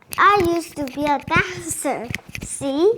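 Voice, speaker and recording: Putting on a character voice, a woman talks at a fairly slow pace with a high pitch. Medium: read story. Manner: halting, read aloud by a learner.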